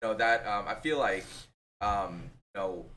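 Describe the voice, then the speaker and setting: A bright, sharp tone comes with a Thai accent. The pace is moderate. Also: man. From Thailand-born, raised in US. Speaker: real estate agent. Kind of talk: interview. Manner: halting.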